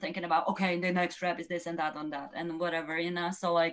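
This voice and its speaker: A woman's very fast speech in a fairly low pitch, with a strong non-native accent. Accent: strong foreign. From Poland. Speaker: professional runner. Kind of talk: podcast interview. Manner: loud.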